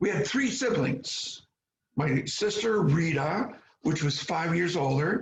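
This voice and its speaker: Vocal fry marks this man's voice as he talks at a very slow pace. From US Midwest, small Michigan town. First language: Polish. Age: 70s. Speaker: interviewee telling life story. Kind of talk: oral history interview. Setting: video call.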